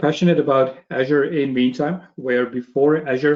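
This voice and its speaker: At a fairly slow pace, a man with a Belgian accent speaks in a fairly high voice with ordinary pitch variation. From Belgium. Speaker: cloud technology trainer. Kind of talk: webinar presentation.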